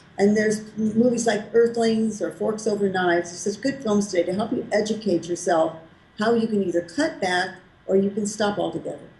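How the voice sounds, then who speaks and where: A woman talks at a fairly quick pace. Background noise is noticeable. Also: medium pitch for a woman, ordinary pitch variation. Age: 70s. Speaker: raw vegan food author and health advocate. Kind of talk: interview answer.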